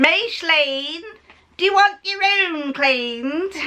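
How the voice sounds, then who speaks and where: In a put-on character voice with a Nottingham accent, a female-sounding speaker talks at a fairly slow pace and an extremely high pitch. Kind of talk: friendly, casual.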